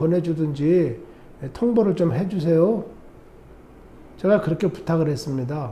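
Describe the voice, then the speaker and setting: Audible room echo surrounds a man's high, dark, mellow voice as he talks at a fairly slow pace with lively intonation. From South Korea. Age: 60s. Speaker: vlogger, Korean emigrant. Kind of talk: monologue vlog. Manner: animated.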